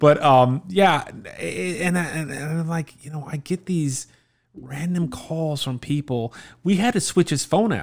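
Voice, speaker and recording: With an American accent, a man with a fairly high pitch speaks at a fairly slow pace in an unremarkable speaking voice, in a very clean recording with a silent background. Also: ordinary pitch variation. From South Florida, Miami area. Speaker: returning podcast guest, father. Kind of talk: casual chat.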